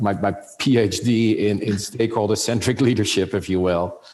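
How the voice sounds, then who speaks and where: Over noticeable background noise, a man with a Dutch accent speaks at a fairly low pitch. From Netherlands. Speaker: business executive. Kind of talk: interview. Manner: halting, many fillers.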